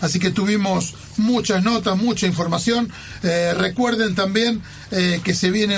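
A man speaks at a moderate pace in a high pitch, with fairly even intonation and very even loudness. Audible room echo and noticeable background noise are present. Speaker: radio host. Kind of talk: radio sports show. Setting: radio studio.

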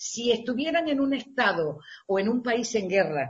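A woman's fairly high, somewhat breathy voice with very wide pitch swings. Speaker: radio presenter. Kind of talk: interview.

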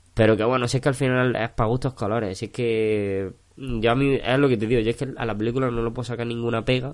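A man races along at a very fast pace in a monotone, flat intonation. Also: medium pitch for a man, hardly any pauses. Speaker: film podcast co-host. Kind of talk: casual chat.

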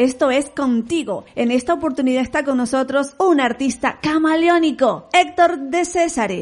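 A woman talks fairly slowly while noticeable background noise sits behind her. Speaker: radio host. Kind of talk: interview.

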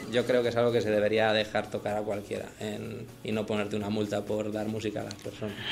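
A man speaks at a fairly quick pace with a fairly low pitch. Noticeable background noise and audible room echo fill the recording. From Madrid, Spain. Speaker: singer-songwriter. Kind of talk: interview.

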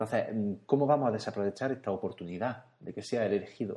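At a fairly quick pace, a man speaks in a dark, mellow tone at a medium pitch with ordinary pitch variation. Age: 30s. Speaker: podcast contributor. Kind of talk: casual chat.

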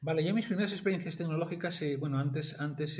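Talking at a very fast pace with fairly even intonation, a man is heard amid audible room echo. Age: 50s. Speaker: industrial engineer and grants consultant. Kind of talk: interview. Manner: halting, many repetitions.

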